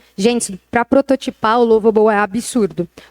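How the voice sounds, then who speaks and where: At a fairly quick pace, a woman talks in a dry, close sound with no echo. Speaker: retail tech executive. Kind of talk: interview talk on stage. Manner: fast; animated.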